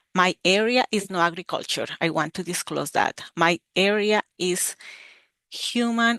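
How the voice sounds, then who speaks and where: A Colombian accent at a moderate pace, ordinary pitch variation, a quiet background and a dry, close sound with no echo. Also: woman. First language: Spanish. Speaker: university extension educator. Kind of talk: webinar presentation. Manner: halting, with filler 'eh'.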